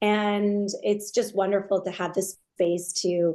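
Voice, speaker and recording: A woman with an American accent speaks at a fairly slow pace. Her pitch is medium and her intonation fairly even. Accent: New York accent, mostly trained out, slips in. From US Northeast, Long Island, New York. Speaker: nonprofit founder. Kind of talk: podcast interview.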